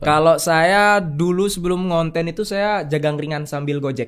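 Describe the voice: A man with a Balinese accent speaks at a moderate pace, his voice high for a man and his pitch varying in an ordinary way.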